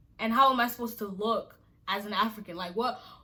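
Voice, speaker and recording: A woman talks at a fairly quick pace in an animated tone, with a fairly high pitch and ordinary pitch variation. Noticeable background noise is present. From Nigeria, moved to US at nine. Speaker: YouTuber. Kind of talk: casual vlog monologue.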